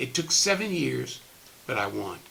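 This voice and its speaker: Noticeable background noise sits behind this recording. A man speaks over it with lively intonation. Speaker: retired politician. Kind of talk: testimonial speech. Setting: recorded virtual program.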